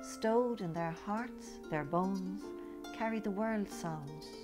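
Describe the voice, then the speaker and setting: Against music in the background, a woman talks at a very slow pace. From Ireland. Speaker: poet. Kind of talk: poetry reading.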